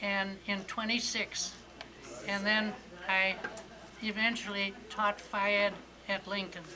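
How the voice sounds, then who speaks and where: Over noticeable background noise, a woman with an Upper Midwest accent speaks very slowly in a monotone, flat intonation, leaving long, frequent pauses. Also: medium pitch for a woman. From Wisconsin, Manitowoc. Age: 90s. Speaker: retired physical education teacher. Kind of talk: oral history interview.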